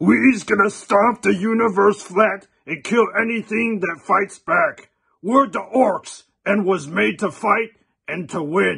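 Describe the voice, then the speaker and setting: At a fairly slow pace, a man puts on a character voice pitched high. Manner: aggressive, boastful.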